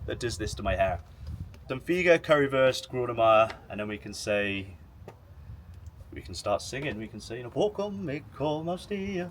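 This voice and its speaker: Speech in an English accent at a moderate pace, with very wide pitch swings. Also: man. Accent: English accent, self-described as horrible. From England. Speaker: football YouTuber. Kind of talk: interview. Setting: outdoors by the pitch in a stadium. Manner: hesitant, repeating words.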